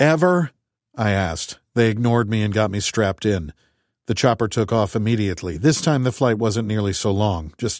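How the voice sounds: Behind the speaker, the background stays quiet. Pitch moves with ordinary variation in a natural reading voice.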